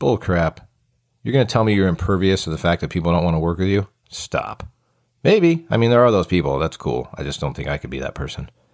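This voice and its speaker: A man with a very deep, low voice and an American accent speaks at a very fast pace with lively intonation, recorded very cleanly against a silent background, with a dry, close sound and no echo. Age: 40s. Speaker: podcast host and fire captain. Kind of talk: casual solo podcast talk.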